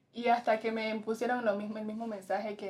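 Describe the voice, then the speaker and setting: A woman talks at a medium pitch and a fairly quick pace, with noticeable background noise in the mix. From Colombia, Pacific coast (Tumaco, Nariño). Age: young. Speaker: fashion model. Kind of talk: interview answers. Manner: halting.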